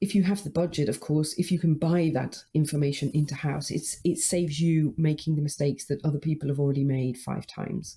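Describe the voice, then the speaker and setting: A woman's very deep, low-pitched voice, dark and mellow and somewhat breathy, at a fairly quick pace with fairly even intonation. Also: hardly any pauses. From UK. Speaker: marketing consultant. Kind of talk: interview.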